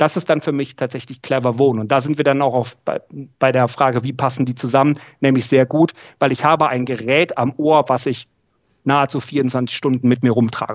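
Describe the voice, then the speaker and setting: A medium-pitched man talks at a fairly quick pace with monotone, flat intonation. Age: 30s. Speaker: audiologist, training lead. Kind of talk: casual interview.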